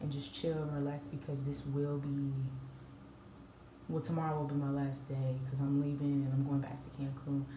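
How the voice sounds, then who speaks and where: A woman with an American accent speaks in a very deep, low voice, with audible room echo and noticeable background noise. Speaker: travel vlogger. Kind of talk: casual vlog talk. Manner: stuttering at times. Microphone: quiet recording.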